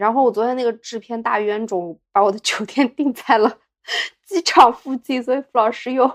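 A woman with an ordinary speaking voice talks at a fairly high pitch and a moderate pace, with ordinary pitch variation. Her loudness swings widely, and the sound is dry and close with no echo. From Jiaxing, Zhejiang, China. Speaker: podcast co-host. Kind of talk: casual chat. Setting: hotel room.

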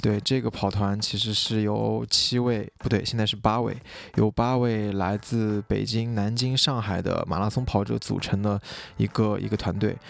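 A man's fairly low voice at a moderate pace, monotone and flat, on a very clean recording with a silent background. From Xinjiang, China. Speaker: podcast host and clothing brand founder. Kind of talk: solo podcast monologue. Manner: casual with frequent fillers.

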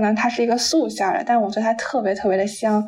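A woman's fairly high voice in a space with audible room echo. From Qingdao, Shandong, China. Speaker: podcast host (guest on another show). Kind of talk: casual chat. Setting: remote call.

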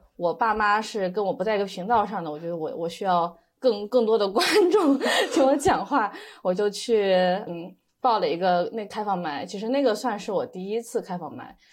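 A woman with an ordinary speaking voice and medium pitch talks at a moderate pace with lively intonation and big swings in loudness, in a very clean recording with a silent background. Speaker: accountant and amateur stand-up comedian. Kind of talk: casual interview chat.

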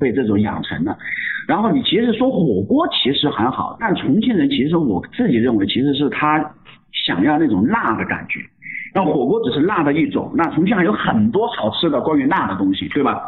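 A man speaks at a fairly quick pace with a fairly high pitch, his voice swinging very widely in pitch while his loudness stays very even. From Chongqing, China. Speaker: photographer. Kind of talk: casual interview chat.

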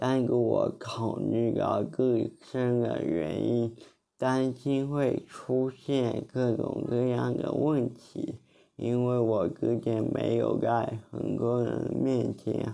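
A man at a very slow pace, his loudness very even throughout. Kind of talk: recorded personal story.

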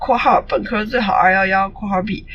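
Through noticeable background noise, a woman talks at a moderate pace. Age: 20s. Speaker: podcast co-host. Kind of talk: reading aloud; casual chat.

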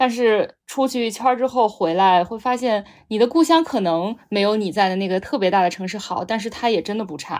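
A woman's normal speaking voice, fairly high in pitch with ordinary variation, fairly quick, on a very clean recording with a silent background. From Qingdao, Shandong. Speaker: podcast host. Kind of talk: casual chat.

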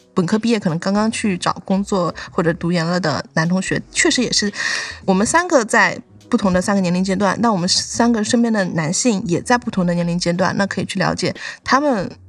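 Over music in the background, a woman talks at a fairly quick pace in a medium pitch with ordinary pitch variation. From Guizhou, Guiyang. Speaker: PhD student, guest co-host candidate. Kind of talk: casual chat. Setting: video call from her lab.

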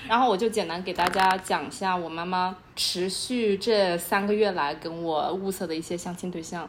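A woman's medium-pitched voice at a moderate pace, hardly any pauses, fairly even intonation, and noticeable background noise. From Chengdu, Sichuan, China. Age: 20s. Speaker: podcast co-host. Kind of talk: casual chat.

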